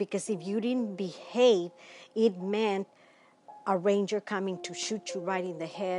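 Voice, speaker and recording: Against a quiet background, a woman with an American accent speaks at a fairly slow pace, medium pitch, and fairly even intonation. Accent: Mexican American. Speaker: civil rights activist. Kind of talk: interview answer.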